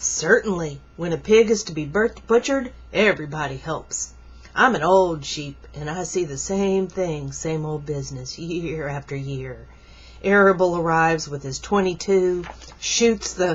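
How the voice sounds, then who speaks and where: A woman puts on a character voice, fairly low in pitch, and speaks at a fairly slow pace. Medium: read story.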